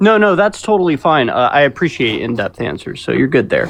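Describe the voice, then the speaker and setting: The voice carries an American accent. Noticeable background noise is present. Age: 20s. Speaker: caller. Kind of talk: political discussion call.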